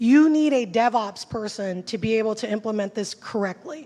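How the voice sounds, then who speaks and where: Her voice sits fairly high. The speaker is a woman. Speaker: conference speaker on technical SEO. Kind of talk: conference talk. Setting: stage with audience. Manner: fast; animated.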